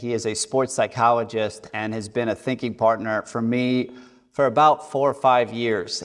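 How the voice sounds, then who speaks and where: In an ordinary speaking voice, a man talks at a moderate pace in a medium pitch with fairly even intonation. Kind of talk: interview questions.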